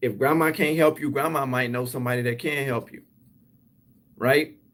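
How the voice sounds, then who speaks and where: Here a man talks at a fairly quick pace. His medium pitch shows ordinary variation. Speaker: cleaning business coach, YouTuber. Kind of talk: live stream motivational talk. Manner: fast; energetic, up-tempo.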